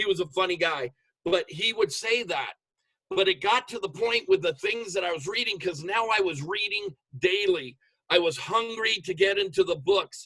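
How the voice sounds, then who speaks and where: Raised and projected, this man's high-pitched voice has a bright, sharp, animated tone, ordinary pitch variation and a moderate pace. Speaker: motivational speaker, network marketer. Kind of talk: motivational talk on video call. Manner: loud.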